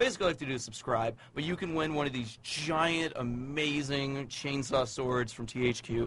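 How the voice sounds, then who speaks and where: A man with a fairly high pitch and ordinary pitch variation talks with hardly any pauses. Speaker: video game magazine editor. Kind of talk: casual chat. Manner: fast.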